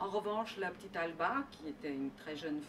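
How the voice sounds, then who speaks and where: Noticeable noise sits in the background. A woman talks with lively intonation. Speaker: novelist. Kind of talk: interview. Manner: halting, many hesitations.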